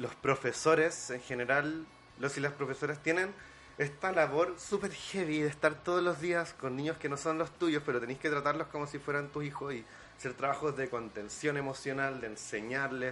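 This man has a fairly high pitch and fairly even intonation. He talks at a moderate pace. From Chile. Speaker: film director and film teacher. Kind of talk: casual chat.

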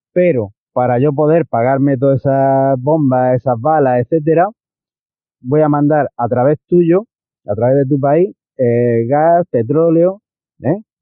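A normal speaking voice, this man's sits fairly high in pitch, with ordinary pitch variation and very even loudness. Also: fairly slow pace. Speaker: listener sending voice message. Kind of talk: recorded voice message.

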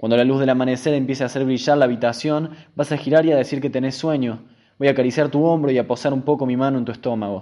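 Over a quiet background, a man with a dark, mellow tone talks at a very fast pace with fairly even intonation. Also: medium pitch for a man. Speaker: radio host. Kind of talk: reading aloud.

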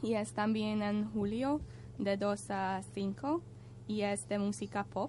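A woman with a Hungarian accent, very slow in pace and very even in loudness. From Hungary. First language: Hungarian (speaking Spanish). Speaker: European volunteer, radio contributor. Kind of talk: casual radio chat.

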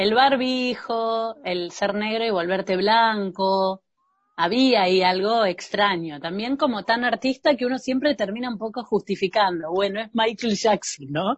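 A woman speaks with a Rioplatense accent. Her pitch varies in an ordinary way. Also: fairly high pitch for a woman, fairly slow pace. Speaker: podcast host. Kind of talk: casual chat.

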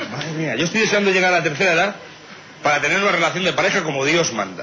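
A man talks very fast in a high pitch, with an animated tone and lively intonation. Noticeable background noise and audible room echo surround him. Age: young. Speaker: radio comedy contributor. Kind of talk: comedy monologue.

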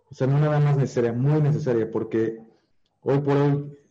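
A man talks at a medium pitch with a dark, mellow tone. His intonation stays fairly even. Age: 30s. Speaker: digital marketer. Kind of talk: interview. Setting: live stream.

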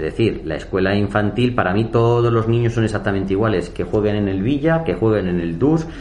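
There is audible room echo and noticeable background noise. A man with a fairly low pitch speaks at a fairly quick pace with ordinary pitch variation. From Spain, Madrid region. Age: 40s. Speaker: mayor. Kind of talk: interview. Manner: hesitant with fillers.

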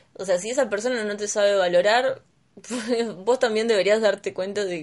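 A woman with a Rioplatense accent, medium pitch and a fairly quick pace. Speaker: podcast co-host. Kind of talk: casual chat.

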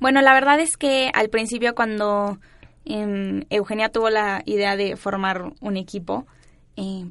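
Her voice is fairly high, and the woman speaks at a very slow pace. Intonation stays fairly even against a quiet background. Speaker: university student council president. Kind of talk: casual chat. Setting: studio.

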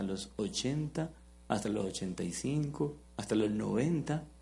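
Somewhat breathy and dark, mellow in tone, a man speaks with very wide pitch swings. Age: 40s. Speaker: pastor. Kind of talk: sermon. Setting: church with live congregation. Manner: interactive, engaging the audience.

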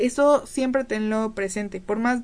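Here a woman speaks at a moderate pace. Her voice is fairly high, with ordinary pitch variation. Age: 20s. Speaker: podcast co-host. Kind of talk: casual chat.

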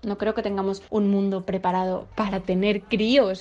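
Against a quiet background, a woman with a dark, mellow tone speaks at medium pitch and a moderate pace. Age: 20s. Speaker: listener sending voice message. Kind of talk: personal testimony.

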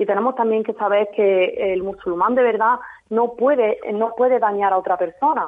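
With an unremarkable speaking voice, a woman talks at a moderate pace in a fairly high pitch, keeping very even loudness and ordinary pitch variation. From Spain, Jaén (Andalusia). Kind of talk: radio interview.

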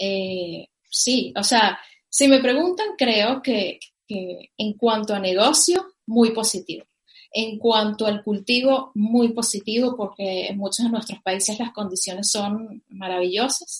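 A woman's fairly high voice, very slow in pace, with ordinary pitch variation. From Venezuela, Caracas. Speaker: cannabis entrepreneur. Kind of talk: interview.

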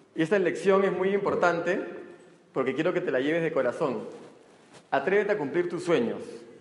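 The speech has an animated tone and a fairly quick pace, with ordinary pitch variation and long, frequent pauses. Noticeable background noise and audible room echo surround it. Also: man, high pitch for a man. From not from Arequipa, Peru; father was from there. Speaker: multilevel marketing speaker. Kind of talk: motivational talk. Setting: stage with audience.

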